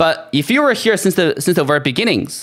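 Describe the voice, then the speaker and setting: A man talks fairly quickly, and his intonation is lively. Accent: non-native. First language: not English. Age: 30s. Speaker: gaming streamer. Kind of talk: livestream monologue. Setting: live stream. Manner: halting, many restarts and fillers.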